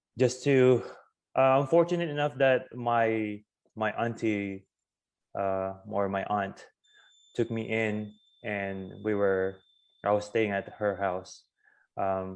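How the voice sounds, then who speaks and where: Against a quiet background, a man speaks at a very slow pace with long, frequent pauses, his pitch fairly low with ordinary variation. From Philippines, Zambales. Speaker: military serviceman. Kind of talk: interview. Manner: halting.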